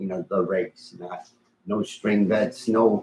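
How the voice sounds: A man speaks in a low pitch with a slightly husky edge and a slightly mellow tone. His pace is fairly slow.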